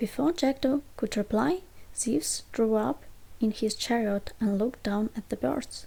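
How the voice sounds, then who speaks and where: A soft-spoken, whispering woman, somewhat breathy with a gentle tone, at a very slow pace. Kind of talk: ASMR bedtime story reading. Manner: soft-spoken, whispering, gentle.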